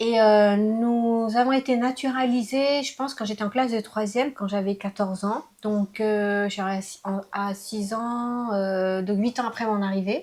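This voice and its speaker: A woman speaks with a fairly high pitch. Her pace is fairly slow and her intonation fairly even. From France (raised from age 6, born in Laos). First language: Lao (speaking French). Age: 50s. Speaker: interviewee mother. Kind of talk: casual interview. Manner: hesitant, many fillers.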